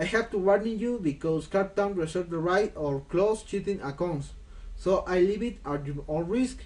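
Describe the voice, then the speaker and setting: A man with a non-native accent speaks at a moderate pace and high pitch with ordinary pitch variation. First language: Spanish. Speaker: gaming tutorial creator. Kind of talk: tutorial. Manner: halting.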